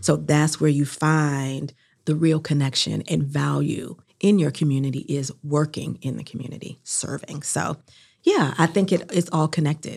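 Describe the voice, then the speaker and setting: Very deep, low pitch from a woman with an American accent, fairly even intonation at a moderate pace. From US South, North Carolina (New Bern, Durham). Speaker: chamber of commerce executive. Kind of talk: interview.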